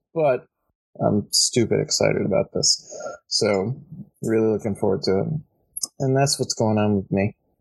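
A man puts on a raspy character voice at a medium pitch, speaking at a moderate pace with long, frequent pauses. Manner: excited.

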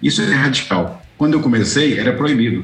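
A man speaks at a medium pitch. Audible room echo and noticeable background noise accompany him. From Goiás, Brazil. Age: 60s. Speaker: distance education consultant. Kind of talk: interview. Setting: office studio.

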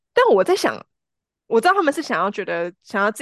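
A woman talks at a very fast pace, the sound dry and close with no echo. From Taiwan, Changhua and Taichung. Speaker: marketing professional, podcast guest. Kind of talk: casual chat.

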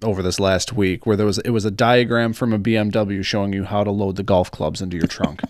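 On a very clean recording with a silent background, a man with a fairly low pitch speaks at a very fast pace. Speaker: podcast co-host and editor. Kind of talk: casual banter. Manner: loud talker.

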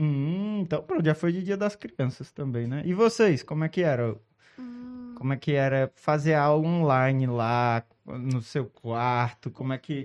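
With an unremarkable speaking voice, a man speaks fairly slowly, his fairly high pitch rising and falling in lively intonation. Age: 30s. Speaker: podcast host. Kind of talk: casual interview with children.

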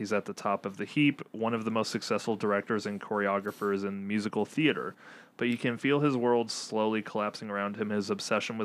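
An unremarkable speaking voice from a man, fairly low in pitch, at a fairly quick pace with fairly even intonation. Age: 20s. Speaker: film podcast co-host. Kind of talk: casual chat.

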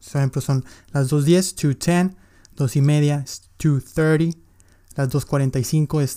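Recorded very cleanly against a silent background, a man's fairly high voice has a dark, mellow tone and fairly even intonation. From Mexico, Monterrey. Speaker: English teacher, podcaster. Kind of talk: tutorial.

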